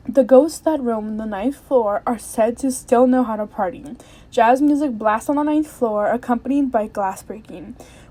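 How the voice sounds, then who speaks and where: Her pitch high and her tone dark and mellow, a woman talks at a moderate pace with ordinary pitch variation. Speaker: podcast host. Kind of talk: casual podcast monologue. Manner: chatty, full of fillers.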